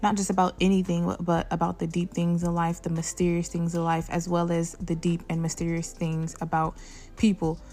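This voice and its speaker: There is music in the background. Over it, a woman speaks at a fairly low pitch. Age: 20s. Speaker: podcast host. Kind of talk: solo monologue.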